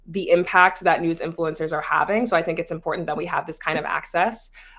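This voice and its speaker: A woman in a normal speaking voice, fairly low in pitch, at a fairly quick pace. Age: 20s. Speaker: content creator and news influencer. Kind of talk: panel discussion. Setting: video call.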